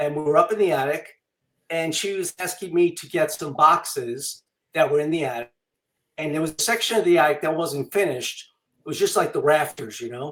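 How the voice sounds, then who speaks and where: With a New York accent, a man talks at a fairly quick pace and a fairly high pitch. His loudness swings widely. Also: ordinary pitch variation. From Long Island, New York. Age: 60s. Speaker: author and illustrator. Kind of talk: interview. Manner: casual, with many fillers.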